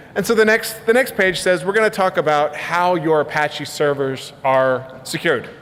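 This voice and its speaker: Speaking at a moderate pace with hardly any pauses, a man keeps his loudness very even. His pitch is high, and noticeable background noise can be heard. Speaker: conference speaker, software developer. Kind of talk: conference talk. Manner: casual, many fillers and repetitions.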